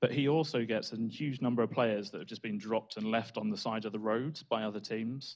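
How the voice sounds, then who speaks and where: Speaking with a British accent, a man keeps a fairly quick pace and fairly even intonation. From Britain. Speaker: data analytics trainer. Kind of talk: conference talk.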